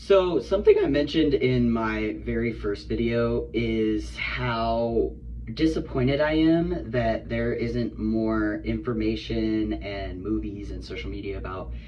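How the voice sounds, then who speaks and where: This man speaks at a fairly slow pace. Background noise is noticeable behind him. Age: 30s. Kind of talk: casual talk to camera. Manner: relaxed, casual.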